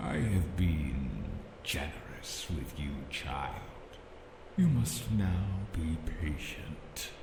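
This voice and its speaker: A man uses a put-on character voice with a very deep, low pitch at a very slow pace. Clear echo and clear background noise surround him. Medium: game stream. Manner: solemn, archaic, detached.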